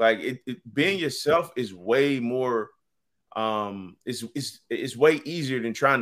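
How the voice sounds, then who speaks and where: This man has an American accent and a bright, sharp tone at medium pitch with ordinary pitch variation. The recording is very clean, with a silent background. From Virginia, US. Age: 30s. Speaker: author and journalist. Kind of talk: interview.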